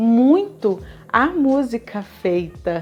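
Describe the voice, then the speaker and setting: Her voice sits at a fairly high pitch for a woman, and her tone is animated. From Brazil. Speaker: music vlogger. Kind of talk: video commentary.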